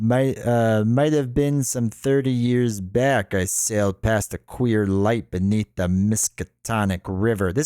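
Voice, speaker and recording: A man puts on a character voice at medium pitch, mumbling at a fairly slow pace with hardly any pauses, ordinary pitch variation and very even loudness. The sound is dry and close, with no echo. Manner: weary, mumbling.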